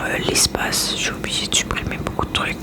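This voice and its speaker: There is noticeable background noise as a woman whispers. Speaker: ASMR creator. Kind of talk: casual talk to camera, ASMR makeup-removal chat. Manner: whispered, soft-spoken.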